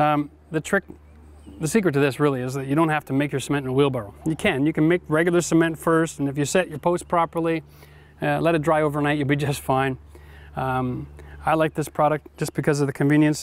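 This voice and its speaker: With fairly even intonation, a man speaks at a very fast pace in a dry recording with no echo. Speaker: DIY host. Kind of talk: tutorial. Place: garden. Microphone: lapel.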